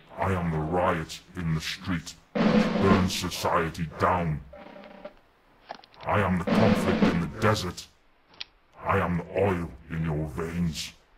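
Over faint background music, a man puts on a character voice with a very deep, low pitch at a fairly slow pace. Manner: menacing, declamatory.

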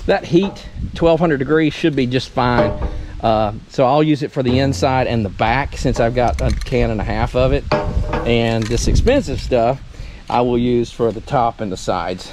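A man at a moderate pace with ordinary pitch variation, noticeable background noise and a dry sound with no echo. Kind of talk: tutorial. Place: open country.

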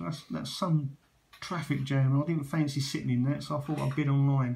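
A man's fairly high voice with a slightly mellow tone, fairly even intonation and vocal fry, plus audible room echo.

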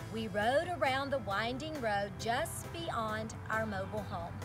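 Clear music behind a woman's fairly slow speech. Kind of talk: storytelling read-aloud. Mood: warm, lively storyteller. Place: open country.

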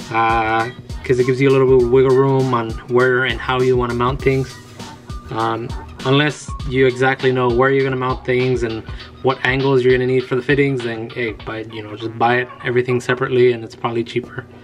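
Faint music plays behind a man who speaks with monotone, flat intonation. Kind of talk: tutorial. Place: garage.

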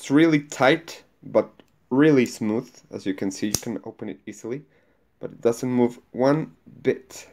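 Over light background noise, a man speaks at a fairly slow pace with ordinary pitch variation, big swings in loudness and long, frequent pauses. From Mexico. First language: Spanish. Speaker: YouTuber reviewing knives. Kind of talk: product unboxing and review. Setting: at home. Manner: animated. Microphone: phone near.

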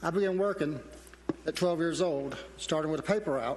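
This man has a Southern accent and a high pitch, with fairly even intonation. He talks at a moderate pace, and the room echo is audible. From South Carolina. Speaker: council vacancy candidate, retired business owner. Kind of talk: prepared candidate speech.

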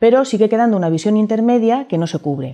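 Against a quiet background, a woman's dark, mellow voice swings very widely in pitch. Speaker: university lecturer. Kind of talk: lecture. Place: studio. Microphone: lapel.

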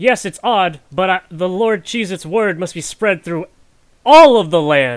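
A man's put-on character voice, raised and projected, high in pitch, with lively intonation and a fairly slow pace, in a very clean recording with a silent background. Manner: eager, zealous.

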